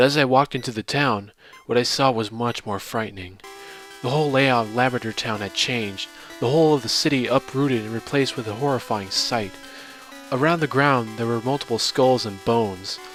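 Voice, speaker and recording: A man speaks fairly quickly, pitch varying in an ordinary way, as music plays behind him. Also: medium pitch for a man. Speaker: voice-over narrator. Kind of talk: horror story narration.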